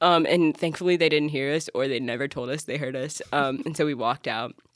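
A woman with an American accent, a very deep, low pitch and ordinary pitch variation, on a very clean recording with a silent background. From Alabama, US South. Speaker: church staff resident. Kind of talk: casual interview.

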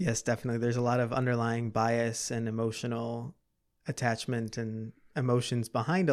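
In a plain, everyday voice with an American accent, the speaker keeps a moderate pace and fairly even intonation. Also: man. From Chicago area, US Midwest. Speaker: associate wealth advisor. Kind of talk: interview.

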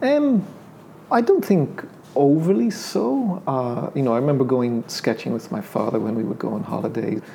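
Against noticeable background noise, the speaker talks with an Irish accent and very wide pitch swings. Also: man, fairly high pitch for a man, moderate pace. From Ireland; Dublin. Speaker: painter. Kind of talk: casual interview. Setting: studio.

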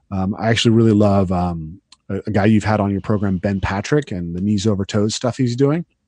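Over a quiet background, a man with a fairly low pitch and a dark, mellow tone talks at a very fast pace. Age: 30s. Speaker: parkour coach. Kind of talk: podcast interview.

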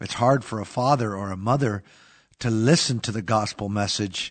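Using an ordinary speaking voice, a man talks at a fairly slow pace, his fairly low pitch showing ordinary variation. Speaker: pastor. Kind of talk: casual religious podcast discussion. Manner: conversational, uses fillers.

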